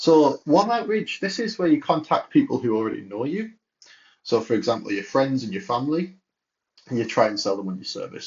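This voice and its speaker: A man with a British accent, very wide pitch swings and a fairly quick pace. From UK. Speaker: entrepreneur. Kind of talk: tutorial. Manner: casual.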